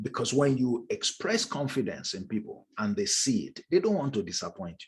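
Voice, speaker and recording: Vocal fry runs through a man's fairly high-pitched voice at a moderate pace. His pitch swings very widely, and his loudness shifts sharply. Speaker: leadership trainer. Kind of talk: online masterclass lecture.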